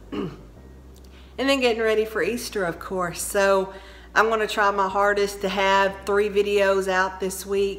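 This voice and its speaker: With a Texan accent, a woman speaks fairly slowly in a monotone, flat delivery, and audible room echo is present. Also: medium pitch for a woman. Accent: Texan Southern US. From Texas. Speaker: home decor vlogger. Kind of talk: casual vlog chat. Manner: slow, drawn out; chatty.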